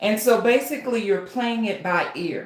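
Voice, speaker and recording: A woman speaks at a fairly slow pace. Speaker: author and writing coach. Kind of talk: live stream tutorial. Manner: loud; animated.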